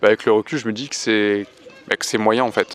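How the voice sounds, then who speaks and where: The recording is dry and close, with no echo. A man talks at a fairly quick pace with fairly even intonation. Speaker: amateur stand-up comedian. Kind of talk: vlog. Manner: hesitant, many fillers; speaking softly.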